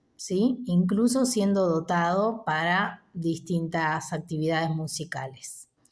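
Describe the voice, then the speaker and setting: A woman of medium pitch talks at a fairly slow pace with lively intonation, recorded very cleanly over a silent background. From Argentina, Buenos Aires province (Chascomús). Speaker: musician and video blogger. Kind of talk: unscripted personal monologue.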